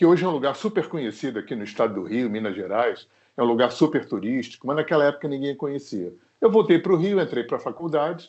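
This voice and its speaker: Talking at a very fast pace, a man pitched fairly high makes very wide pitch swings. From Rio de Janeiro, Zona Sul. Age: 60s. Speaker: singer-songwriter. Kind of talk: interview. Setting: remote recording.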